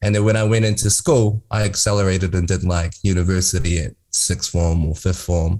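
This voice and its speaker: A very deep, low, somewhat breathy male voice with a dark, mellow tone, fairly quick pace, ordinary pitch variation, very even loudness and hardly any pauses, in a very clean recording with a silent background. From New Zealand, Māori, Wanganui. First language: Māori. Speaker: filmmaker and entrepreneur. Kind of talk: interview.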